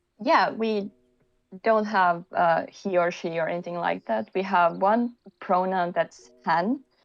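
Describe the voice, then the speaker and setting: Over music in the background, a woman with a Finnish accent speaks at a fairly slow pace, at medium pitch with ordinary pitch variation. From Finland. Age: 30s. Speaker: podcast guest, creative. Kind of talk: casual chat.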